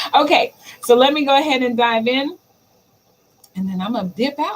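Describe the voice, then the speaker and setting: Her pitch is high and swings very widely as this woman speaks at a moderate pace. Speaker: digital marketing livestream host. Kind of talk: solo livestream talk. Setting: live stream. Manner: stammers at times; casual, chatty.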